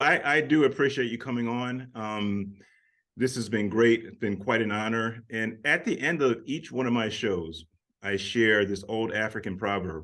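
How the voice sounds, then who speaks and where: Using a plain, everyday voice, a man speaks at a moderate pace with a medium pitch and ordinary pitch variation. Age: 50s. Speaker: talk show host. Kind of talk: interview conversation.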